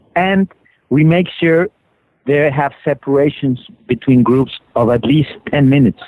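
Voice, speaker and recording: Speaking at a fairly slow pace with a Spanish accent, a man has a fairly high pitch and ordinary pitch variation, in a dry, close sound with no echo. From Mexico City, Mexico. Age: 40s. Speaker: author and conservationist. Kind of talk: interview. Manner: halting.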